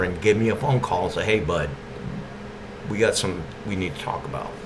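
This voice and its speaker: An East Texas accent with ordinary pitch variation, noticeable background noise and audible room echo. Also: man. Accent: East Texas Southern drawl. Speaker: video blogger. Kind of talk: monologue.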